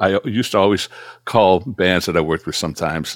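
An ordinary speaking voice at a fairly quick pace, with a dry, close sound and no echo. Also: man. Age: 60s. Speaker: guitarist and music producer. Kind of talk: casual interview.

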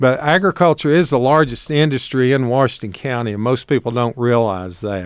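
Speaking with an Appalachian accent, a man keeps a moderate pace. His voice sits at a medium pitch. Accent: Appalachian Southern, noticeable. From Appalachia, northeast Tennessee. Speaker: agricultural extension agent. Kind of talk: live radio call-in talk. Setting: radio studio, live broadcast.

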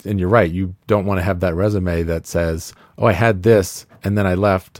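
On a very clean recording with a silent background, a man with an American accent speaks in a very deep, low voice at a moderate pace with fairly even intonation. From California. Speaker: retail executive. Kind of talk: casual chat.

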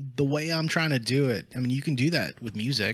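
A man speaks at a moderate pace in an ordinary speaking voice. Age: 30s. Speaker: content creator and musician. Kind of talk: casual chat.

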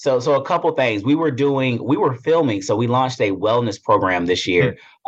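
Someone speaks at a fairly quick pace with lively intonation and a slight Southern US accent. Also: man. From upstate South Carolina, Greenville. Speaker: corporate human resources executive. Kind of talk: interview conversation.

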